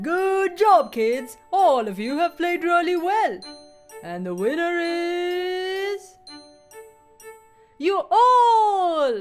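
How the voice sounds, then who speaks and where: A cartoonish character voice moves at a very slow pace with long, frequent pauses while faint music plays in the background. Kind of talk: cartoon character dialogue. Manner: warm, encouraging.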